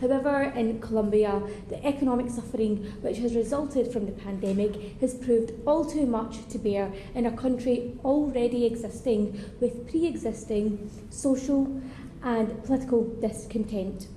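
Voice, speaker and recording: With a strong Scottish accent, the speaker keeps a moderate pace and fairly even intonation. Audible room echo and noticeable background noise come through. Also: woman, fairly high pitch for a woman. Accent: thick Scottish. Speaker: member of parliament. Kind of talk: parliamentary speech.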